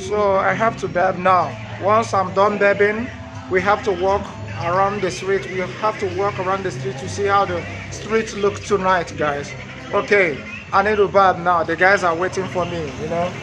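With clear music in the background, a man speaks at a high pitch. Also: ordinary pitch variation, moderate pace. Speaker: travel vlogger. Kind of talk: casual vlog chat. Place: street. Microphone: phone near.

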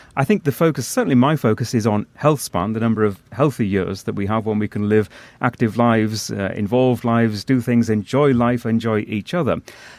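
A man with a plain, everyday voice speaks at a medium pitch and a fairly quick pace, with ordinary pitch variation and hardly any pauses. The recording is very clean, with a silent background and a dry, close sound without echo. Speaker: podcast host. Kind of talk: interview.

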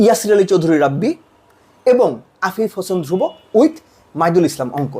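Speaking in an animated tone, a man uses a high pitch and lively intonation. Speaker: cricket commentator. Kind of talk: opinion monologue.

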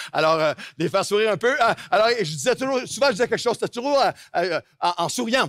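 Delivered at a very fast pace, the speech has lively intonation. The sound is dry with no echo over a quiet background. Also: man. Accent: Quebec. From Quebec. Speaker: pastor. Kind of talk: sermon. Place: church. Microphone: headset.

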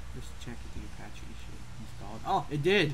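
Light background noise sits beneath speech at a moderate pace. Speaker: gamer, let's play host. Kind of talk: casual gameplay commentary.

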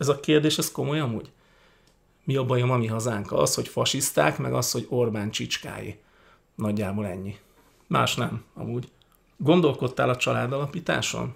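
A man with lively intonation and vocal fry, moderate pace broken by long, frequent pauses, quiet background. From Hungary. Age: 40s. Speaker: YouTuber, political commentator. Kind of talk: casual Q&A monologue. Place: home room. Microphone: studio mic.

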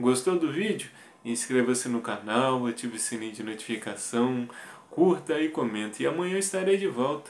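Lively intonation runs through this man's medium-pitched voice. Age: 30s. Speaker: motivational video creator. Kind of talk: personal testimony monologue. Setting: video recorded to camera. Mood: earnest, motivational. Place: home room. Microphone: phone near.

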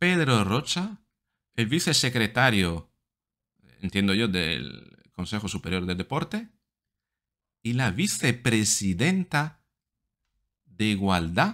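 Over a quiet background, a man with a fairly low pitch speaks at a very slow pace, his pitch swinging very widely, with long, frequent pauses. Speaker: psychologist video commentator. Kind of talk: angry rant.

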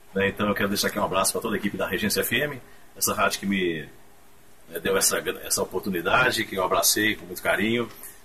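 Over light background noise, a man with a fairly low voice talks very fast but leaves long, frequent pauses. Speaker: radio announcer, former radio host. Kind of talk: casual radio greeting message to former station and listeners. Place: studio. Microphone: camera far.

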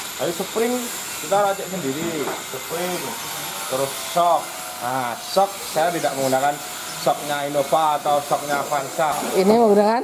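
A man at a moderate pace, with long, frequent pauses and noticeable background noise. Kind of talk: casual explanation of a car build. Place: workshop. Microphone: camera far.

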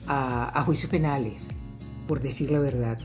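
Clear music plays behind a woman speaking at a fairly slow pace. Her voice is very deep and low. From Venezuela. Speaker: journalist and radio host. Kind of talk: interview answer. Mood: earnest, assertive, self-reflective. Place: home room. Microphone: webcam.

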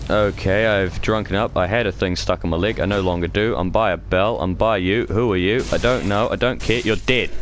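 Spoken at a fairly quick pace with hardly any pauses and very even loudness, with music playing in the background. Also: man, fairly low pitch for a man. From New Zealand. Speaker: gaming youtuber. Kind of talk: let's play commentary. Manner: animated.

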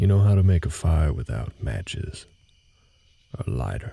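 Putting on a character voice, a man speaks at an extremely low pitch with a dark, mellow tone, a slightly husky edge, vocal fry and big pitch swings. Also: fairly slow pace.

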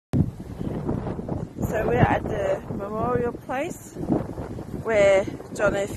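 Speech at a very slow pace, dry with no echo, set against loud background noise. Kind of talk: casual travel vlog narration. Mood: quiet, respectful. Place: street. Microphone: phone near.

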